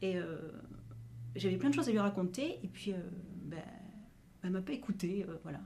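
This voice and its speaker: A woman's medium-pitched voice with a dark, mellow tone, vocal fry, lively intonation, and long, frequent pauses. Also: moderate pace. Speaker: actress. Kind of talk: improvised monologue to camera. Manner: hesitant, conversational.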